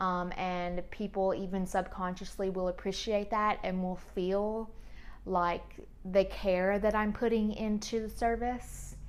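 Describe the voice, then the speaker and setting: A woman speaks in a flat monotone, with audible room echo. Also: medium pitch for a woman, fairly slow pace. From US South. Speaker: esthetician and podcast host. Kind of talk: casual monologue podcast. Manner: calm, soothing.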